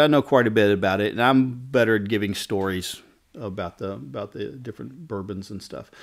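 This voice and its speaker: A man with a Southern US accent talks at a moderate pace in a relaxed tone, with ordinary pitch variation. The recording is very clean, with a silent background. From Kentucky, US South. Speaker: barber. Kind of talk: casual interview chat. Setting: barbershop waiting room bar. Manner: relaxed, conversational with many fillers.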